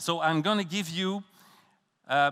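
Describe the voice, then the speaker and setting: A voice with a Quebec accent carries lively intonation and a bright, sharp tone on a very clean recording with a silent background. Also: man. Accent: Québécois French accent in English. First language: French. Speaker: professor. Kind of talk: conference talk. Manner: halting.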